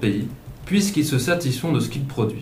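There is noticeable background noise as a man speaks with lively intonation. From Alsace, south of Mulhouse. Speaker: student economics columnist. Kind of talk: scripted radio column. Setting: studio.

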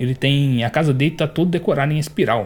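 Somewhat breathy, this man talks at a very fast pace with ordinary pitch variation. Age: 20s. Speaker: podcast host reviewing manga. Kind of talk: solo review monologue. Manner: casual, hesitant with fillers.

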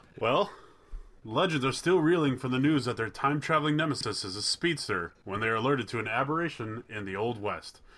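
With an American accent, a man uses a normal speaking voice of medium pitch and lively intonation. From Wisconsin. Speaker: podcast co-host. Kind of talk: casual chat; reading aloud.

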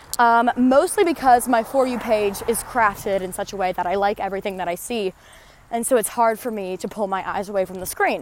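A woman's fairly high, animated and enthusiastic voice at a fairly quick pace with ordinary pitch variation. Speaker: podcast host. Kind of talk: casual monologue while walking. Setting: outdoors, walking. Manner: animated, enthusiastic.

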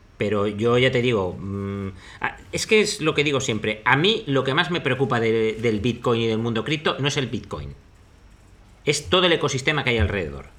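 This man has a medium pitch and lively intonation. He keeps a moderate pace, broken by long, frequent pauses. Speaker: investor and podcast host. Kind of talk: casual chat.

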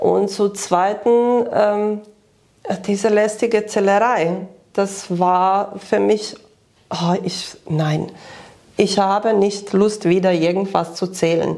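The speech is monotone and flat, delivered at a very slow pace with long, frequent pauses. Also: woman, medium pitch for a woman. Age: 50s. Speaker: nutrition coaching client. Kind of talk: testimonial interview. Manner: halting, many fillers.

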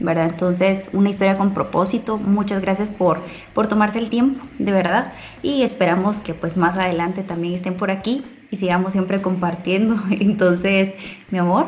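A woman's medium-pitched voice at a moderate pace, amid noticeable background noise and audible room echo. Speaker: podcast co-host. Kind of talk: casual chat.

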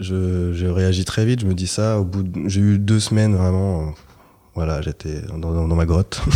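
With a very deep, low pitch and fairly even intonation, a man speaks at a moderate pace. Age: 30s. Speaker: podcast guest sharing breakup story. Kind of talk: casual interview conversation.

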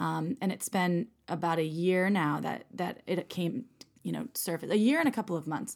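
With an American accent, a woman speaks at a moderate pace in a fairly low pitch with vocal fry and ordinary pitch variation, on a very clean recording with a silent background. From US Midwest, Wisconsin. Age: 30s. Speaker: sex toy company executive and podcast co-host. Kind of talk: casual chat.

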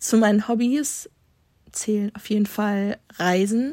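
A woman with an unremarkable speaking voice talks at a medium pitch with ordinary pitch variation, in a very clean recording with a silent background. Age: 20s. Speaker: student podcaster. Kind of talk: casual monologue.

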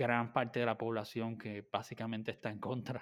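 A man speaks at a medium pitch and a moderate pace, with a plain, everyday voice. The background is quiet. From Puerto Rico. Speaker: podcast host. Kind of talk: interview.

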